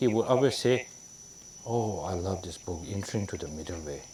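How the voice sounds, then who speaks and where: Speaking with a Tibetan accent, a man keeps a moderate pace. His pitch is fairly low and his intonation lively. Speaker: Tibetan Buddhist lama teacher. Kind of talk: dharma teaching. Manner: halting, many fillers.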